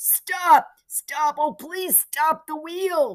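High in pitch, the voice is a put-on character one. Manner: panicked, pleading.

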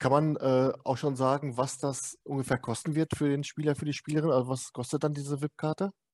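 In a normal speaking voice, the speaker goes at a fairly quick pace with fairly even intonation, the sound dry and close with no echo against a quiet background. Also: man. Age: 50s. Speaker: podcast host. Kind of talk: casual interview.

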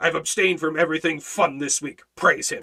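A man puts on a character voice with a grumpy tone and high pitch. He talks at a fairly quick pace. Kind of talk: grumpy, self-righteous. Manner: grumpy, sanctimonious.

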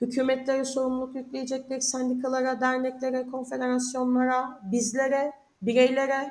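Her voice is high in pitch and monotone, with flat intonation. The woman keeps a moderate pace. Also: hardly any pauses. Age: 30s. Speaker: union researcher. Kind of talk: interview.

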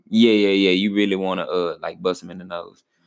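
An animated man on a very clean recording with a silent background. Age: 20s. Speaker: podcast co-host. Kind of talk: casual banter. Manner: animated, joking.

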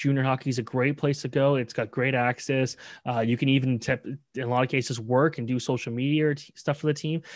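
A man with a Canadian accent and a fairly high pitch speaks at a very fast pace with fairly even intonation, in a very clean recording with a silent background. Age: 20s. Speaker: sports journalist. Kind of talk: casual chat.

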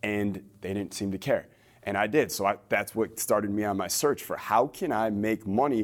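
With an ordinary speaking voice, a man talks at a fairly low pitch and a moderate pace, using ordinary pitch variation. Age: 20s. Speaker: entrepreneur and business coach. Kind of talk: interview.

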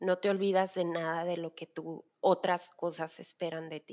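On a very clean recording with a silent background and a dry, close sound with no echo, a woman talks in an unremarkable speaking voice. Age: 30s. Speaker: worship leader and designer. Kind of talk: casual chat.

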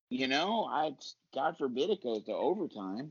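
A man talks at a moderate pace and a medium pitch, with a slightly husky edge. His pitch swings are big.

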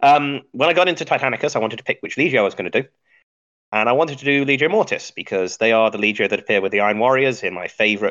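A man talks at a very fast pace. His medium pitch moves with lively intonation. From English Midlands. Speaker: podcast host and geologist. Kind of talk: casual chat about tabletop wargaming.

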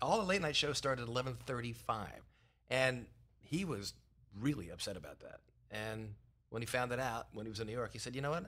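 A man with an American accent talks fairly quickly at a medium pitch, with lively intonation and a bright, sharp tone. His speech has long, frequent pauses. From Philadelphia. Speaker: TV producer. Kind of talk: casual chat.

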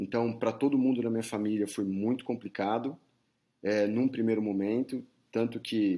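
A man talks at a moderate pace in an unremarkable speaking voice of medium pitch. The recording is very clean, with a silent background. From São Paulo, Brazil. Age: 40s. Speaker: headhunter. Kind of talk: interview.

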